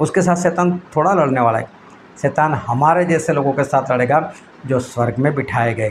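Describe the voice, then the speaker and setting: A man's voice at a fairly slow pace, ordinary in its pitch variation, over light background noise. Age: 50s. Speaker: preacher. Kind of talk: sermon. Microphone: phone near.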